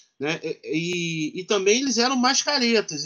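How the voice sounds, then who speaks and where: A man at a fairly slow pace, his pitch swinging very widely. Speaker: professor and writer. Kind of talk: interview conversation.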